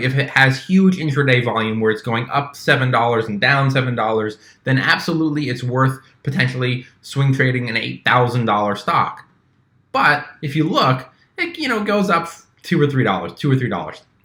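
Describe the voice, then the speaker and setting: A bright, sharp tone with ordinary pitch variation, on a very clean recording with a silent background. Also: man. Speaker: stock trading youtuber. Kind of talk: tutorial. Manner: fast.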